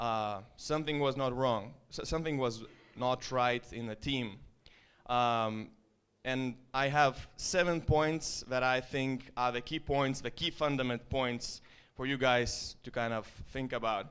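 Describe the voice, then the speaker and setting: A man speaks very slowly with an Estonian accent, at medium pitch and with fairly even intonation. The recording is very clean, with a silent background. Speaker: startup founder. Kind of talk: presentation. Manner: casual.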